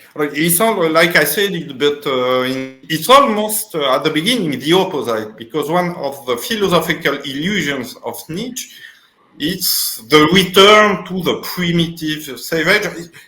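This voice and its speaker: A man's high-pitched voice in a French accent, fairly slow, with lively intonation, audible room echo and noticeable background noise. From Tunisia. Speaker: philosopher. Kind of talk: interview. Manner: halting.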